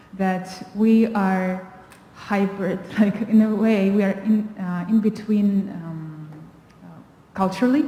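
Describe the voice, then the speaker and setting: Speaking very slowly in a Russian accent, a woman uses a medium pitch and fairly even intonation, with audible room echo around her. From Kazakhstan. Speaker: panelist. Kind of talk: panel discussion. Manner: halting.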